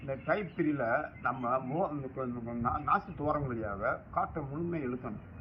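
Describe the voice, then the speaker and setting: A man's medium-pitched voice is heard with noticeable background noise. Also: ordinary pitch variation. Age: 70s. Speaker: yogi. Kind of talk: breathing exercise instruction.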